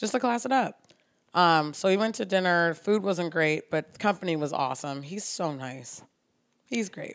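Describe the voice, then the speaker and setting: Using an ordinary speaking voice, a woman with a fairly low pitch speaks at a moderate pace with lively intonation. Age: 30s. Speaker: podcast co-host. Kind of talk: casual chat.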